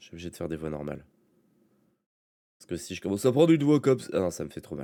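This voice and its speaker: A man talks at a very fast pace. His dark, mellow tone carries lively intonation. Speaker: let's play streamer. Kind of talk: gameplay commentary. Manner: subdued, low intensity.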